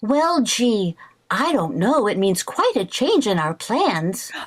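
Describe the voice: A woman uses a put-on character voice at a fairly high pitch with big pitch swings. She speaks at a slow pace.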